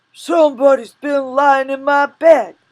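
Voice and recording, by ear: Someone uses a put-on character voice with a high pitch. The pace is fairly slow.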